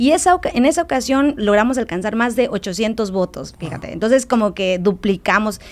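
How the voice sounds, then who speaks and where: A woman with an unremarkable speaking voice talks at a moderate pace with hardly any pauses. Her pitch sits fairly high and her intonation is lively. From Mexico, Quintana Roo near Campeche border. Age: 30s. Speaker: activist. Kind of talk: interview.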